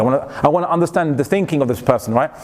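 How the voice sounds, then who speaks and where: Through noticeable background noise, a man with a British accent talks at a very fast pace. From England. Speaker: Islamic lecturer. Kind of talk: lecture.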